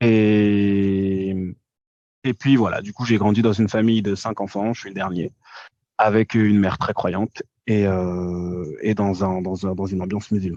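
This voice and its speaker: A man's fairly low, dark and mellow voice at a fairly slow pace, flat and monotone throughout. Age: 20s. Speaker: podcast guest, social media commentator. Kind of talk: casual interview. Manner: hesitant, many fillers.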